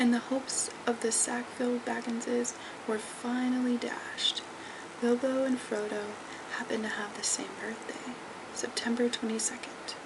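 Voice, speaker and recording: Noticeable background noise fills the recording. Through it, a woman whispers at a moderate speed. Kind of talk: read story. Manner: whispered.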